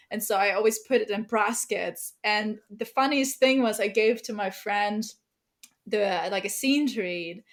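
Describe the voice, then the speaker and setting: In a German accent, a woman with a fairly high pitch speaks at a fairly slow pace with fairly even intonation. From Germany. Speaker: novelist. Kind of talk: podcast interview. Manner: casual, many fillers.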